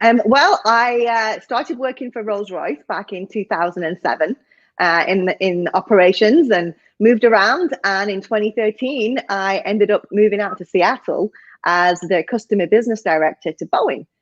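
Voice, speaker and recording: A woman with a northern English accent at medium pitch and a moderate pace, lively intonation, in a dry, close sound with no echo against a quiet background. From northern England. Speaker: executive coach. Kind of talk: interview.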